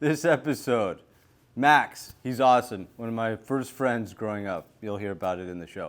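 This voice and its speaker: Medium pitch and ordinary pitch variation from a man with an unremarkable speaking voice. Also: moderate pace, big swings in loudness, very clean recording, silent background. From Latin America, moved to US as toddler. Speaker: podcast host. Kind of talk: casual interview.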